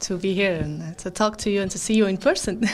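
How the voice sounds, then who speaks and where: Speaking at a fairly quick pace with a non-native accent, a woman talks at a medium pitch over noticeable background noise. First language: not English. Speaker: band frontwoman, musician. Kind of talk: interview. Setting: on location at a music fair. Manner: halting, many fillers.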